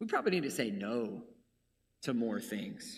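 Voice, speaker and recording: There is audible room echo around a man's voice. He has vocal fry and very wide pitch swings. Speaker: preacher. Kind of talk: sermon. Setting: church. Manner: fast.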